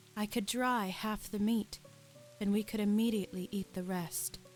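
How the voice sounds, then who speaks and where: Over music in the background, a woman talks at a fairly slow pace with medium pitch and ordinary pitch variation. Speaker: semi-professional voice actor. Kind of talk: ASMR audiobook reading. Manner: soft, relaxing.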